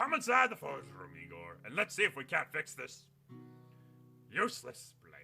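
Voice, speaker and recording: Using a gruff put-on character voice, a man speaks at a moderate pace over faint background music. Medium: actual play. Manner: gruff, blustery, hearty.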